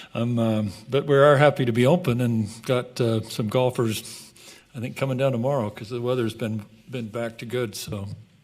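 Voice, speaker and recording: A man with an unremarkable speaking voice talks at a moderate pace, his medium pitch held in fairly even intonation. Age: 60s. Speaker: golf course business partner. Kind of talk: council meeting presentation. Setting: city council meeting.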